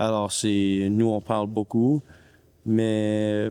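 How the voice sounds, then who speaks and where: Through a dry, close sound with no echo and a very clean recording with a silent background, a man with a fairly low pitch speaks at a very slow pace. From Canada, Ottawa, Ontario. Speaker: ice hockey player. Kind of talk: interview. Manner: halting, many hesitations.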